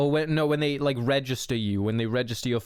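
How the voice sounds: This is a natural reading voice. Its pitch varies in an ordinary way.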